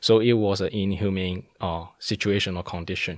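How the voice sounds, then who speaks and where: A man with a Cantonese accent talks in a very deep, low voice, his intonation monotone and flat. The recording is very clean, with a silent background. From Hong Kong. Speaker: political activist. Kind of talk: interview. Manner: hesitant, many fillers.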